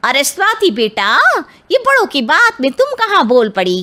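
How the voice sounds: A woman's put-on character voice, high-pitched with a bright, sharp tone, very wide pitch swings and a moderate pace.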